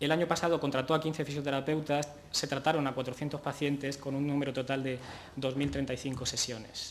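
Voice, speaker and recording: In a room with audible echo, a man speaks fairly quickly in a fairly high pitch with monotone, flat intonation. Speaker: physiotherapist, conference speaker. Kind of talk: conference talk. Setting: conference stage with audience. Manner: hesitant, many fillers.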